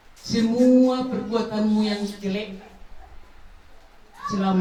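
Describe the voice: A woman of medium pitch speaks in a dark, mellow tone with little pitch movement, and audible room echo surrounds her voice.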